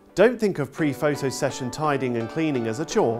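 A man's fairly quick speech with very wide pitch swings, clear music playing in the background. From United Kingdom. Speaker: TV presenter. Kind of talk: property TV show presenting. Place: studio. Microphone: lapel.

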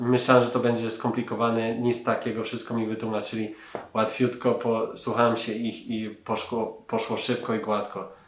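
A man's medium-pitched voice in a flat monotone, with audible room echo and light background noise. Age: 30s. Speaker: laser eye surgery patient. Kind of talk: patient testimonial. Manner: hesitant, frequent fillers. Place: office.

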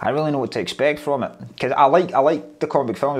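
This man talks at a very fast pace in a Scottish accent. The background is quiet. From Scotland. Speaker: stand-up comedian. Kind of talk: interview answer. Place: office.

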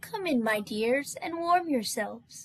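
This put-on character voice is high-pitched and moves at a fairly slow pace. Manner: sugary sweet, inviting.

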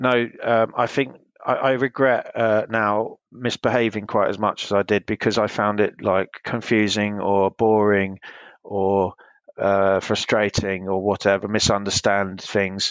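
In a southern English accent, a man speaks at a fairly slow pace with a fairly low pitch and monotone, flat intonation, in a dry, close recording with no echo and a quiet background. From England, Hertfordshire. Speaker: interviewee recounting childhood. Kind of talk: interview. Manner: hesitant, many fillers.

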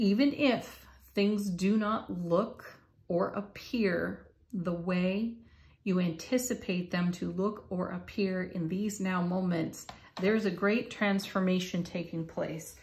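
A somewhat breathy woman speaks at a very slow pace with fairly even intonation. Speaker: tarot card reader. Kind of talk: spiritual reading monologue. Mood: warm, encouraging. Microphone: phone near.

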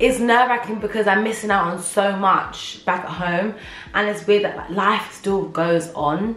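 A woman speaks with ordinary pitch variation amid audible room echo and faint music in the background. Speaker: vlogger. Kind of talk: casual vlog chat. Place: home room. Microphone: camera far.

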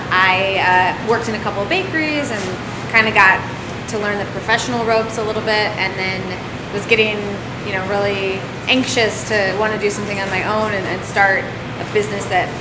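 Through loud background noise, a woman talks at a fairly quick pace. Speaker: interview guest. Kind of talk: interview answer. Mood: relaxed, friendly. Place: shop.

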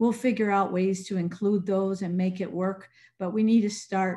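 A woman speaks fairly slowly in a dark, mellow, somewhat breathy tone. Her intonation stays flat and monotone. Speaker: presenter. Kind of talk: lecture. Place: home room. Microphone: video call.

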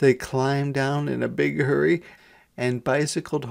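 What you hear is an unforced reading voice.

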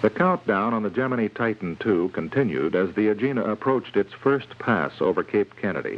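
An ordinary speaking voice at a fairly quick pace. The intonation is lively. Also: man, fairly low pitch for a man. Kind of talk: scripted documentary narration. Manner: formal, measured, authoritative newsreel-style delivery; even, steady, unemotional pacing.

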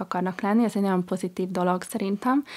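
A woman talks with monotone, flat intonation. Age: 30s. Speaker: emotional intelligence coach. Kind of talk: radio interview. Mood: warm, smiling. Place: studio. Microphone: studio mic.

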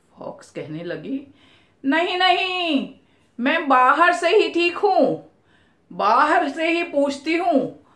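A woman speaks at a very slow pace and an extremely high pitch, with ordinary pitch variation and a bright, sharp tone. Her loudness swings widely, and audible room echo sits over a quiet background. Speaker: storyteller. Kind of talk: storytelling narration with character voices. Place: home room.

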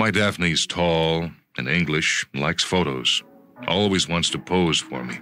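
Music plays in the background as a man talks at a fairly slow pace in a very deep, low voice. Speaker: radio drama narrator. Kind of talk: short story reading.

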